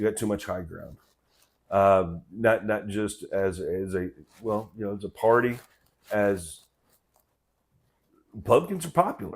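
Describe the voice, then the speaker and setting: In a Southern accent, a man speaks at a moderate pace with fairly low pitch. The recording is very clean, with a silent background. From US South, Memphis and Mississippi. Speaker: political commentator. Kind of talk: casual commentary monologue. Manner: halting, many fillers.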